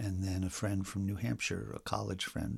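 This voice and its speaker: A man talks at a moderate pace in a fairly low pitch, with a normal speaking voice. The recording is very clean, with a silent background. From north central Pennsylvania. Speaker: dance caller and dance historian. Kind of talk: casual interview chat. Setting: at his home.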